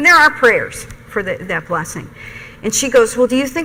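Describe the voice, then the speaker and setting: Through noticeable background noise, a woman talks in a high voice with lively intonation. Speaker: nursing professor. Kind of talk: lecture.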